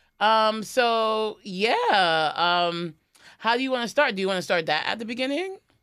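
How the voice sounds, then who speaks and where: This woman has a fairly high pitch and a New York accent, talking at a moderate pace with lively intonation. The recording is very clean, with a silent background. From New York (Queens). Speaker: comedian and podcast host. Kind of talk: casual chat.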